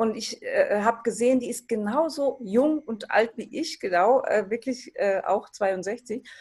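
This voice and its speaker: Here is a woman with a normal speaking voice, a fairly high pitch and ordinary pitch variation. She talks at a fairly slow pace with hardly any pauses. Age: 60s. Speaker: retirement transition coach. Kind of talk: interview.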